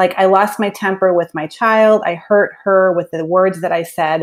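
Here is a woman with a plain, everyday voice at a medium pitch. She keeps a moderate pace and fairly even intonation. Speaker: author and speaker, mother. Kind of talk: interview conversation.

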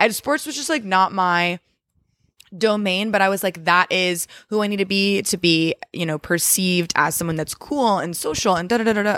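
In a normal speaking voice, the speaker goes at a moderate pace with ordinary pitch variation, on a very clean recording with a silent background. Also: woman, medium pitch for a woman. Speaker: guest, host's sister, former elementary educator. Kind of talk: casual chat. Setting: at parents' home on couch.

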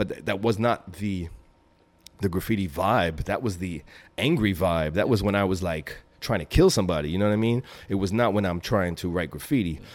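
Fairly quick speech on a very clean recording with a silent background. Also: man, very deep, low pitch for a man, ordinary pitch variation. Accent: New York. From Brooklyn, New York. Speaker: graffiti writer and author. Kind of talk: interview.

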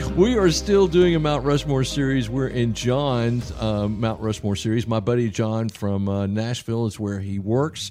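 A man with a Southern US accent, medium in pitch, his speech showing ordinary pitch variation and hardly any pauses, with music in the background. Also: moderate pace. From US South. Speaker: podcast host discussing the Bible. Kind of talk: casual Bible study chat. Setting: church.

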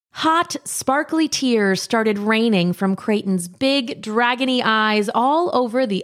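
Text read aloud in a plain way

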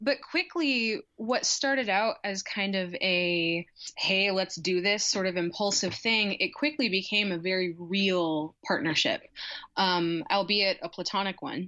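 With an American accent and a plain, everyday voice, a woman speaks at a fairly slow pace with a medium pitch and ordinary pitch variation. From Nebraska, Lincoln. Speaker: graduate student and storyteller. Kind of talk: podcast interview.

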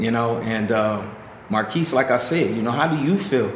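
A man at medium pitch and moderate pace with ordinary pitch variation, amid noticeable background noise and audible room echo. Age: 40s. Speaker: youth program staff member. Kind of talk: casual interview.

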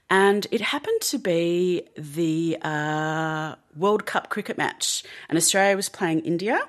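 Against a quiet background, a woman speaks in an unremarkable speaking voice at a fairly low pitch, with ordinary pitch variation and a fairly slow pace. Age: 40s. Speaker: meditation teacher. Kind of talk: casual chat.

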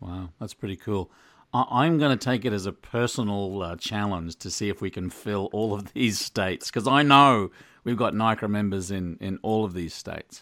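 This man has an Australian accent and a fairly low pitch with ordinary variation. The sound is dry and close, with no echo. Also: moderate pace, very clean recording, silent background. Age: 50s. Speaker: podcast host, former ice cream shop owner. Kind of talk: interview.

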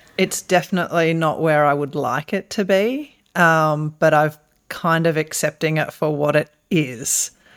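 Speaking with an Australian accent and lively intonation, a woman keeps a fairly slow pace on a very clean recording with a silent background. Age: 40s. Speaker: podcast co-host. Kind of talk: casual chat.

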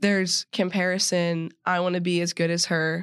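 A woman with an American accent, fairly low in pitch, speaking at a fairly slow pace in a monotone, flat delivery against a quiet background. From Texas, suburb east of Dallas. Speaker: college athlete and podcast co-host. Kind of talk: casual chat.

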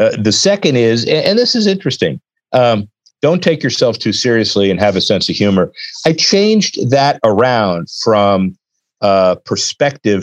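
Recorded with a dry, close sound, no echo and a quiet background, a man with an American accent speaks at a medium pitch, his pitch swinging very widely while his loudness stays very even. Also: moderate pace. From Miami, Florida. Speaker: sports business attorney and consultant. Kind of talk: interview.

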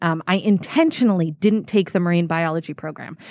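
A normal speaking voice, this woman with an American accent talks at a fairly quick pace in a fairly low pitch with fairly even intonation, in a very clean recording with a silent background. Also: dry, close sound with no echo. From New England, Massachusetts. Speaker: aquarium animal director. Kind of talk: interview. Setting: on location at aquarium.

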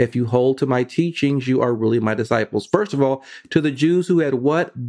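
A man's medium-pitched voice, dark and mellow in tone, with ordinary pitch variation, very even loudness and a moderate pace. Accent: American. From US West Coast (Vallejo, California). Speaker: preacher. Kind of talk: sermon.

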